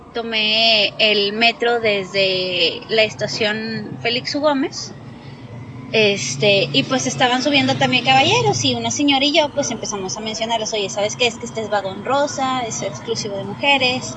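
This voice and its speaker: Very wide pitch swings in a woman's voice, with noticeable background noise behind it. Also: fairly high pitch for a woman, fairly slow pace. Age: 30s. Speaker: metro passenger, harassment witness. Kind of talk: testimony. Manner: halting.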